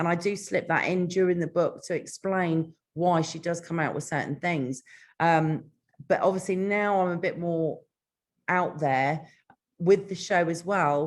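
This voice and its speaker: The voice carries a British accent. Its pace is fairly slow. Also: woman, fairly low pitch for a woman. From Britain. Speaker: author. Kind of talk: interview. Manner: energetic.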